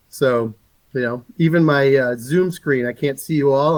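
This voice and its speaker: Moderate pace in an American accent, ordinary pitch variation, and a dry, close sound with no echo. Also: man. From New England, Boston. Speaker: game company livestream host. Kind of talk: livestream presentation. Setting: Zoom video call livestream.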